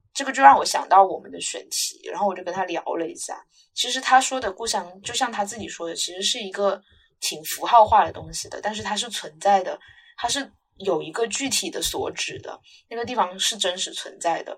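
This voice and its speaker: This is a normal speaking voice with lively intonation at a fairly quick pace. Its loudness swings widely. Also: woman, medium pitch for a woman. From Guangdong, China. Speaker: podcast co-host, university student. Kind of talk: casual chat.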